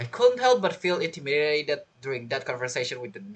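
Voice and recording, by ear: The pace is fairly quick and the tone fairly bright. Pitch swings very wide.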